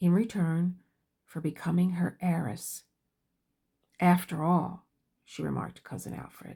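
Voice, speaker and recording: A woman with a dark, mellow, somewhat breathy voice of fairly low pitch speaks with big swings in loudness and long, frequent pauses. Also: fairly even intonation, fairly slow pace. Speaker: book reader. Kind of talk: audiobook-style novel reading. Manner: slow.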